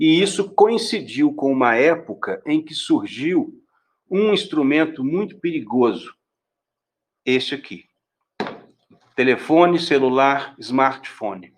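Very slow, lively intonation with long, frequent pauses. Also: man, fairly high pitch for a man. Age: 50s. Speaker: law professor. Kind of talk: interview on a live stream.

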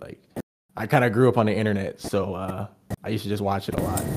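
A fairly low-pitched man's voice at a very fast pace. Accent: American. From Los Angeles. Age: 20s. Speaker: musician. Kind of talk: casual chat.

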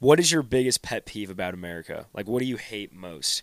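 In a normal speaking voice, a man with fairly low pitch talks fairly quickly with lively intonation, in a very clean recording with a silent background and a dry, close sound with no echo. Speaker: podcast host. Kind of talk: casual chat.

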